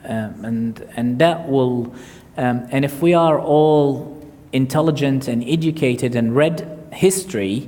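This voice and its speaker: A man with an Arabic accent speaks at a fairly high pitch with lively intonation, and the room echo is audible. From Iraq. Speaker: surgeon and author. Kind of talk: audience Q&A at book launch. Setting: stage with audience. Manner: halting, many fillers.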